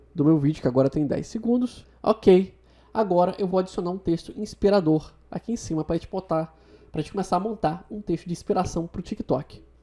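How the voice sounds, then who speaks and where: A dark, mellow tone carries ordinary pitch variation at a fairly quick pace. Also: woman. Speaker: video tutorial host. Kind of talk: software tutorial. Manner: fast.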